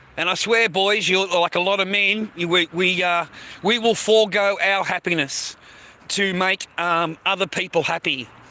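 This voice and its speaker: Speaking at a moderate pace, a man uses a raised, projected voice with a high pitch and very even loudness. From Australia. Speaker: live streamer. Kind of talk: livestream monologue. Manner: halting; animated.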